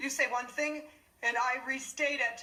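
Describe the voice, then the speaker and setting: Putting on a character voice, a woman speaks in a high pitch at a moderate pace. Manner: mindlessly repeating.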